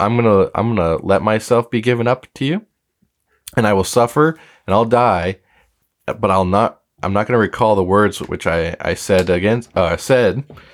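In a put-on character voice, a man speaks raspy and fairly low at a moderate pace, on a very clean recording with a silent background. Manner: stuttering, halting.

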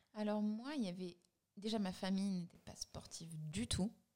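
Her tone dark and mellow, a woman talks at a fairly slow speed. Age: 30s. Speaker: brand co-founder. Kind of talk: casual interview.

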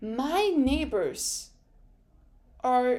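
This woman has a high-pitched voice. Her pitch swings very widely. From France. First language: French. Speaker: podcast host. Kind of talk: casual monologue recap. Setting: home recording with open window. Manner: animated.

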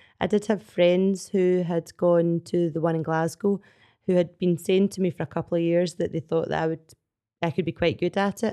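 Against a quiet background, a woman with a Scottish accent talks at a moderate pace in a fairly low pitch, her tone dark and mellow, her pitch variation ordinary, and the sound dry and close with no echo. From Scotland. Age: 40s. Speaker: CrossFit athlete. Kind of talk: casual chat. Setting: studio.

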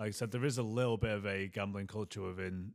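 In a very clean recording with a silent background, a man speaks with an English accent. His fairly low pitch shows ordinary variation. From England. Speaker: former rugby league player, podcast co-host. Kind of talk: casual chat.

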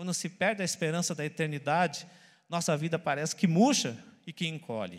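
A man speaks at a moderate pace with a high-pitched voice. The recording is very clean, with a silent background. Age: 40s. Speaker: pastor. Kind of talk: sermon.

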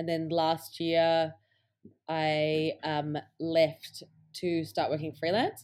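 A woman speaks at a very slow pace in a fairly low pitch with monotone, flat intonation and long, frequent pauses. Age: 20s. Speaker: filmmaker and photographer. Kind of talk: casual interview. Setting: video call. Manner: hesitant, many fillers.

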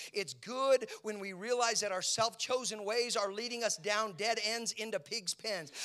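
With noticeable background noise behind him, a high-pitched man talks at a moderate pace in a raised, projected voice. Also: ordinary pitch variation, hardly any pauses. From Italian-American home. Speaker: pastor. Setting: church sanctuary with live congregation. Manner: earnest, preacherly cadence with building repetition (whether it be with...).

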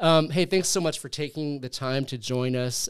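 A man with an American accent speaks in a normal speaking voice, with ordinary pitch variation and a dry, close sound that has no echo. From Southern California. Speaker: podcast host and graduate program director. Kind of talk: interview. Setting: studio.

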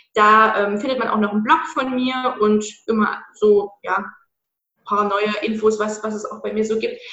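Audible room echo surrounds the speech. The intonation stays fairly even at a fairly slow pace. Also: woman, fairly high pitch for a woman. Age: 20s. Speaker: anti-diet coach. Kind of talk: interview.

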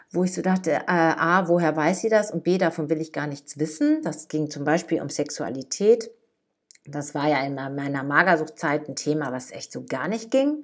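Moderate pace, ordinary pitch variation and an unremarkable speaking voice, captured in a very clean recording against a silent background. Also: woman. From Ruhr area, Germany (Dortmund). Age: 50s. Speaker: podcast host and life coach. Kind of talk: casual personal monologue.

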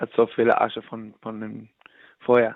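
Here a man with an English accent speaks at a very slow pace. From New York, US. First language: English (speaking German). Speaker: musician. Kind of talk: interview. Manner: halting.

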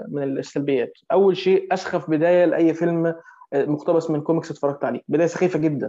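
A man talks at a moderate pace with a high pitch. There is noticeable background noise. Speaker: film podcast panelist. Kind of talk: casual chat.

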